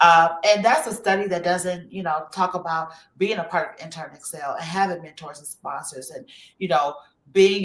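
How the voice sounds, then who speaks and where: A woman with an American accent and a fairly low pitch speaks at a moderate pace, with ordinary pitch variation and big swings in loudness. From Chicago. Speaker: HR practitioner and career expert. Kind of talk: panel discussion in a virtual event. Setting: virtual event. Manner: conversational with many fillers.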